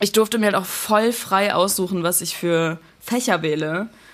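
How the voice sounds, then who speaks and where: Ordinary pitch variation at a moderate pace. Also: woman. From Germany, bilingual with American mother. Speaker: singer and music producer. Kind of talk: casual chat. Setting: remote recording. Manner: mixes German and English.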